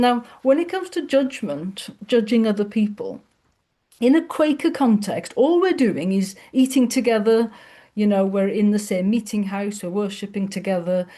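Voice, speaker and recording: Lively intonation marks this woman's fairly high, somewhat breathy voice, which has a dark, mellow tone. She speaks at a moderate pace against a quiet background. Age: 50s. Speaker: podcast host. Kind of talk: casual chat. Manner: halting.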